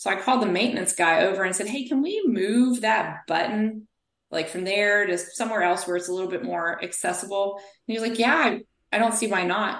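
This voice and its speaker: A woman with an American accent talks at a fairly quick pace in an ordinary speaking voice of medium pitch with ordinary pitch variation. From US South. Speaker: physical therapist. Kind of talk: interview.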